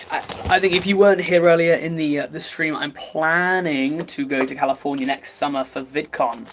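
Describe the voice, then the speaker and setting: A man with an English accent speaks at a moderate pace, his pitch fairly high with ordinary variation. Noticeable background noise is present. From England. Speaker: YouTuber livestreaming. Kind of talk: casual livestream chat. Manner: halting, filler-heavy.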